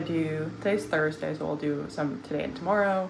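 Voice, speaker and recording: With very wide pitch swings and a fairly quick pace, a woman talks through audible room echo and noticeable background noise. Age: 20s. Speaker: vlogger. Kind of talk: casual vlog talk to camera. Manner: casual, rambling with fillers.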